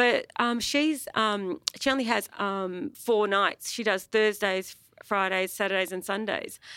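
With an Australian accent and a bright, sharp tone, the speaker moves at a fairly slow pace with hardly any pauses and ordinary pitch variation, on a very clean recording with a silent background. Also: woman, medium pitch for a woman. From Melbourne, Australia, Greek family. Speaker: music promoter and booker. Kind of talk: live panel conversation. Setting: stage with audience.

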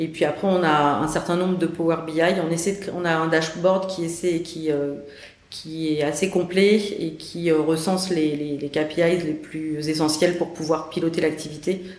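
Speaking slowly-ish in a fairly low voice, a woman keeps a monotone, flat intonation amid audible room echo and noticeable background noise. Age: 40s. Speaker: sales director. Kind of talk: interview.

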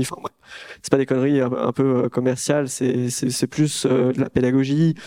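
Amid noticeable background noise, a man speaks at a medium pitch with monotone, flat intonation in a dry, close sound with no echo. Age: 20s. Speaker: startup co-founder. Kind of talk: talk to an audience.

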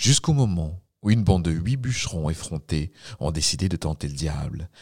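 A man's very deep, low voice at a moderate pace, dry and close with no echo, on a very clean recording with a silent background. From Quebec. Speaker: storyteller narrator. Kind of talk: scripted narration of a ghost tale, told as a folk story. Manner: measured, storyteller cadence with suspense.

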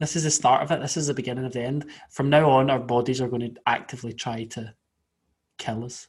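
A man with a Scottish accent at a medium pitch, somewhat breathy and very fast, with fairly even intonation on a very clean recording with a silent background. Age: 20s. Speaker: podcast co-host. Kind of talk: casual chat.

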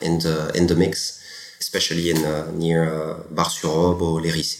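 A man with a very deep, low pitch, amid audible room echo and noticeable background noise. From France. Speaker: champagne export manager. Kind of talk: interview.

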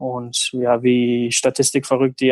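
A man's medium-pitched voice, flat and monotone, at a fairly slow pace, with a dry, close sound and no echo. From Germany, small village. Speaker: professional footballer. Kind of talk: casual interview. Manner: halting, many fillers.

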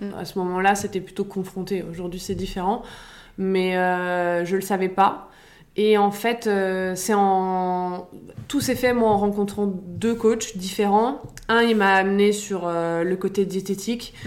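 Speaking very slowly, a woman at medium pitch keeps a monotone, flat intonation. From Paris, France. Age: 30s. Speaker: fitness coach. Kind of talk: casual interview.

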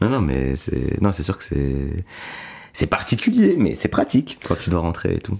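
A man's very deep, low voice at a fairly slow pace, with very wide pitch swings and noticeable background noise. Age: 20s. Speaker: stand-up comedian. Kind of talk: casual chat.

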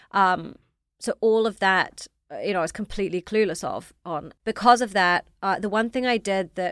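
With a slight New Zealand accent, a woman talks at a fairly quick pace and fairly even intonation in a dry, close sound with no echo. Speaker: fashion startup founder. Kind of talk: interview.

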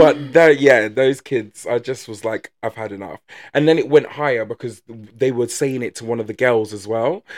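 A man with an English accent speaks at a moderate pace and medium pitch, with ordinary pitch variation, big swings in loudness, and a dry, close sound with no echo. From England. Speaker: podcast co-host. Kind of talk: casual chat.

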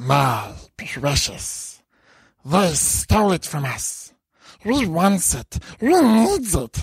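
A put-on character voice at middle pitch moves at a very slow pace, broken by long, frequent pauses. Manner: hissing, covetous.

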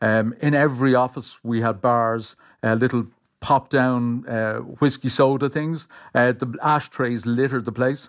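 On a very clean recording with a silent background, a man speaks with an Irish accent. His medium pitch and fairly even intonation come at a fairly slow pace. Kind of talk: interview.

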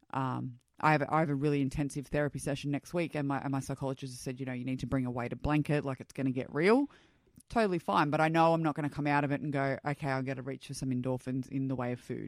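A woman talks at a very fast pace. Her voice is very deep and low. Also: very clean recording, silent background. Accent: Australian. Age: 30s. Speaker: guest sharing her story. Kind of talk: casual interview chat. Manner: outgoing, loud, upbeat.

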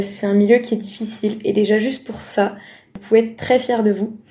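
A woman speaks with a fairly high pitch and a somewhat breathy quality. Her tone is dark and mellow. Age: young. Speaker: medical student. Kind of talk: casual chat.

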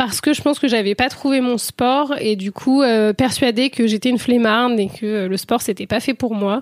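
A woman's high-pitched voice with ordinary pitch variation at a moderate pace, the sound dry and close with no echo. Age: 20s. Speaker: medical student and amateur rugby player. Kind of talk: interview testimony. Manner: hesitant, many fillers.

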